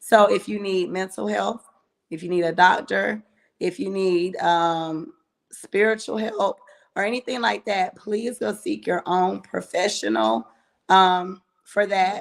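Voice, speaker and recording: A woman speaks loudly with lively intonation on a very clean recording with a silent background. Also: medium pitch for a woman, fairly slow pace. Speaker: live show co-host. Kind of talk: casual live talk show.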